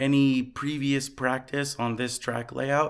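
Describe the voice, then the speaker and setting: A man's medium-pitched, monotone voice with flat intonation at a fairly slow pace. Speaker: RC car racing hobbyist vlogger. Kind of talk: casual vlog recap.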